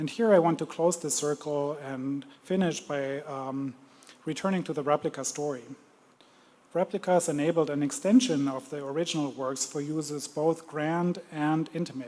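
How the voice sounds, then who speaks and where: A man with a German accent, fairly high pitch, a dark, mellow tone, ordinary pitch variation and a moderate pace. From Germany. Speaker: museum curator. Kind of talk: lecture. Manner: hesitant, many fillers.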